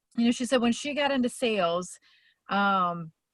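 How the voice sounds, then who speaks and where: A woman uses an ordinary speaking voice, fairly high in pitch. She speaks at a moderate pace with lively intonation. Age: 50s. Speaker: motivational coach. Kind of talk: casual talk.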